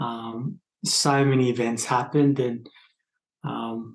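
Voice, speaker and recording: This man's pitch sits in the medium range. He keeps his intonation fairly even. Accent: Australian. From Australia, northern New South Wales. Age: 30s. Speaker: podcast guest sharing spiritual experience. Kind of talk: casual interview conversation. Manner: hesitant, many fillers.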